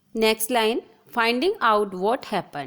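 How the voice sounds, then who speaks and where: A woman's fairly high-pitched voice. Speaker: teacher. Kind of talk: lecture.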